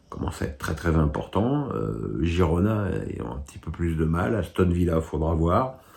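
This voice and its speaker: Over noticeable background noise, a man with a very deep, low pitch talks at a moderate pace with lively intonation. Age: 60s. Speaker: football pundit. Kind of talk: casual commentary answering viewer questions. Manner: halting with frequent repetitions and fillers.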